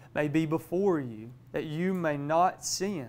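Pitch varies in an ordinary way as a man talks at a fairly slow pace.

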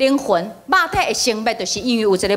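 A woman's raised, projected voice. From Taiwan. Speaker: spiritual teacher. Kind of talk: lecture. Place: hall. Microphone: handheld.

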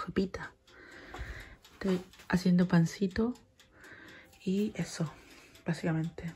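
Soft-spoken and at a fairly slow pace, a woman with a Chilean accent talks at a medium pitch with ordinary pitch variation, long, frequent pauses and light background noise. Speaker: vlogger. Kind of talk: casual vlog. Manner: speaking softly. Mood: cheerful, amused. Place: kitchen. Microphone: phone near.

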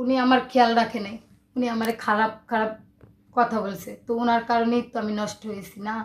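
A woman speaks at a fairly high pitch with monotone, flat intonation. Her loudness swings widely. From Bangladesh, Dhaka; Bangladesh. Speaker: interviewee. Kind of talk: personal testimony. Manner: halting. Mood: sad, confessional. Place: home room.

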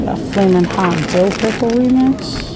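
Ordinary pitch variation from a woman amid noticeable background noise. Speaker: food vlogger. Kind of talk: casual vlog chat. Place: shop. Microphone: phone near.

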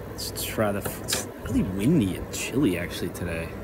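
The man's delivery is fairly slow and the sound is dry with no echo, though noticeable background noise is present. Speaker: vlogger tasting ciders. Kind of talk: casual vlog chat. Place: garden. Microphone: phone near.

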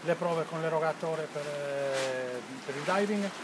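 Clear background noise sits behind a man whose fairly high voice has ordinary pitch variation.

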